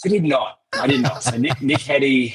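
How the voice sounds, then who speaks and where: A man speaks with an Australian accent. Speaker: cybersecurity vendor executive. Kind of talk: interview. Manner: halting, frequent repetitions.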